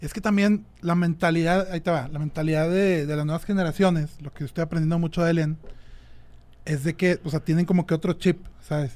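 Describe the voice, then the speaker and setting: Fairly quick and high-pitched, a man speaks with fairly even intonation. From Monterrey, Mexico. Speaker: rock drummer. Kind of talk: casual chat.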